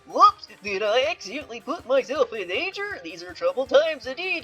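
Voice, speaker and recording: A put-on character voice, female-sounding and high-pitched, swinging very widely in pitch over faint music in the background. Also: moderate pace. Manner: goofy.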